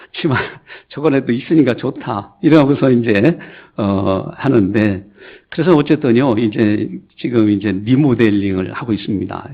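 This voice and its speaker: A man talks at a fairly slow pace and medium pitch with lively intonation. It is a normal speaking voice. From Chungcheong, South Korea (Gongju, South Chungcheong). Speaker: pastor. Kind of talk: sermon. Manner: conversational, anecdotal.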